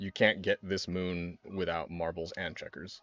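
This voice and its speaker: Man with a very deep, low voice. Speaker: video game streamer. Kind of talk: live gameplay commentary. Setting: live stream.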